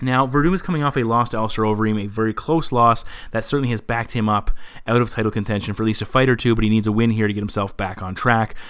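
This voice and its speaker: The speaker is a man with a medium pitch. He talks at a very fast pace. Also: ordinary pitch variation. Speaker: MMA predictions show host. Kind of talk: solo fight analysis commentary. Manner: stumbling over words.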